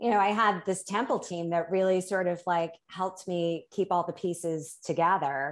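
A woman with a plain, everyday voice speaks at a moderate pace, her pitch fairly low and its variation ordinary, against a quiet background. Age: 50s. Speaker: life coach. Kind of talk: casual interview chat.

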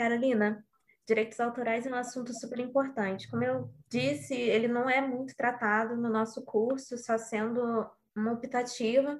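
Using a high pitch and fairly even intonation, a woman talks at a moderate pace. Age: 20s. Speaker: student co-host. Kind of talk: interview.

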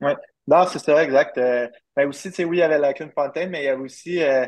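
With a plain, everyday voice, a man talks at a moderate pace with fairly even intonation. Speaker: professional baseball player. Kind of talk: interview.

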